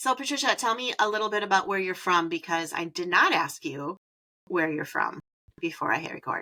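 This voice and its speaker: A woman speaks at a fairly quick pace with an animated tone and a Wisconsin accent. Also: medium pitch for a woman, lively intonation. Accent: Wisconsin accent, long vowels. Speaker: podcast host. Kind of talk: casual chat; scripted podcast intro.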